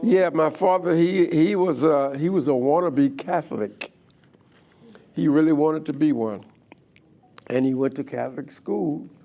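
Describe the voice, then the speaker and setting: In a New Orleans accent, a man speaks at a fairly slow pace with long, frequent pauses. His fairly high voice has a dark, mellow tone and ordinary pitch variation. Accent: New Orleans Southern US. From US South, New Orleans, Louisiana. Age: 80s+. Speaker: guest speaker telling his life story. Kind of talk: life story testimony. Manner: casual, joking.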